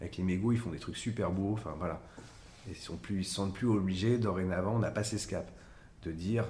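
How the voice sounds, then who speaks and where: A man speaks with a fairly low pitch and a dark, mellow, somewhat breathy tone. His moderate pace and ordinary pitch variation carry over audible room echo. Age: 50s. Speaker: architect. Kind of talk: interview. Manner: halting, with repetitions and fillers.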